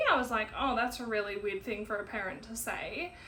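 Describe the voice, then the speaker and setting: Audible room echo surrounds a woman's fairly high, bright, sharp voice with ordinary pitch variation. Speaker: podcaster. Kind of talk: personal monologue. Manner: slow; halting.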